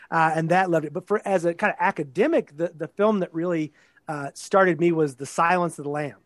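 A man with an American accent and a high pitch talks at a very fast pace with fairly even intonation, his sound dry and close with no echo against a quiet background. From Texas. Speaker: professor. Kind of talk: interview. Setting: video call.

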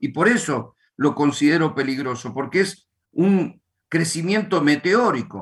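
Speaking with ordinary pitch variation, a man's voice sits fairly high. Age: 50s. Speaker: pastor. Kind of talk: religious teaching. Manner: halting.

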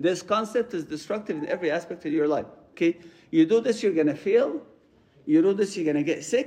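A high-pitched man's dark, mellow voice with an Arabic accent, lively intonation and a fairly quick pace. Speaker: priest. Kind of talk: sermon. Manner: halting, repeats words.

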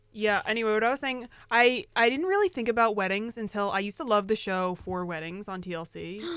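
On a very clean recording with a silent background, a woman rattles along at a very fast pace with hardly any pauses, her fairly high voice showing ordinary pitch variation. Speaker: podcast co-host. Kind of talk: casual chat. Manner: stutter.

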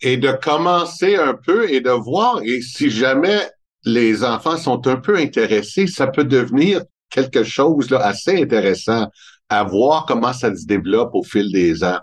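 Against a quiet background, a man in a Montreal accent speaks very slowly at a medium pitch with very wide pitch swings. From Montreal, Quebec. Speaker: family wealth advisor. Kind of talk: interview.

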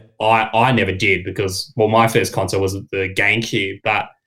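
In a very clean recording with a silent background, a man speaks with an Australian accent at a fairly low pitch. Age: 20s. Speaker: gaming podcaster. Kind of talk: casual chat.

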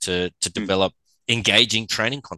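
Against a quiet background, a man speaks with an Australian accent in a fairly low voice. The sound is dry and close with no echo, and his tone is bright and sharp. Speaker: sports physical therapist. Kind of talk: casual chat.

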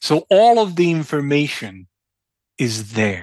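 The speaker has a Croatian accent. The background is quiet. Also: man. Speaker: entrepreneur and researcher. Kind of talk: interview conversation. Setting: remote call.

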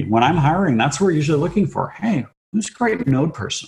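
The speaker talks very fast in a Canadian Prairies accent, with very wide pitch swings. The voice is somewhat breathy. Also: man. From Canada, southern Saskatchewan. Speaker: tech executive. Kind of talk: interview.

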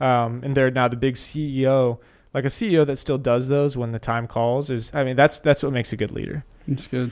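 A man in an unremarkable speaking voice talks at a moderate pace and medium pitch with fairly even intonation. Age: 20s. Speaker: podcast host and investment firm partner. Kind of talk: casual interview chat.

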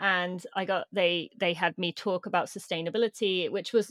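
With a British accent, a woman speaks at medium pitch with fairly even intonation, recorded dry and close with no echo, very clean, against a silent background. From Britain. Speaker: elite runner and sustainability advocate. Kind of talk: interview conversation.

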